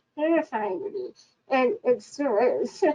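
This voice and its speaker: A woman's dark, mellow tone with lively intonation at a fairly slow pace. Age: 20s. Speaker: panelist living with SMA. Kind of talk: panel discussion. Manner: halting.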